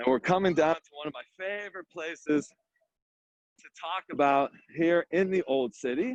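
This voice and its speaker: A man with a high pitch speaks in an animated tone with ordinary pitch variation and long, frequent pauses. The sound is dry and close, with no echo. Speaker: tour guide. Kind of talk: guided walking tour. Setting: outdoors. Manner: fast.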